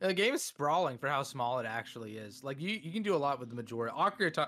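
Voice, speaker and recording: A man speaks at a very fast pace with a bright, sharp tone and fairly high pitch. His pitch swings very widely. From Russia. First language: Russian. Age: 20s. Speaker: YouTuber and Twitch streamer. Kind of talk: casual chat.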